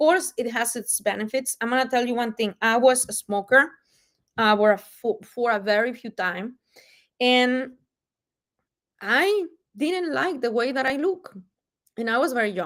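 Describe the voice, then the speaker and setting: A woman with a Mexican accent, high pitch, and lively intonation, at a moderate pace with long, frequent pauses, in a very clean recording with a silent background. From Mexico. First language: Spanish. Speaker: wellness product presenter. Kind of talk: live-stream sales presentation. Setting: livestream on multiple platforms. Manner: casual, many fillers.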